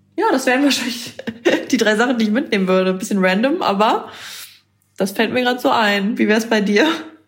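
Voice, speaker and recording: A woman speaks at a very fast pace broken by long, frequent pauses, with very even loudness, ordinary pitch variation, and audible room echo. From northern Germany, Bremen. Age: 20s. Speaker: content creator. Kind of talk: casual chat.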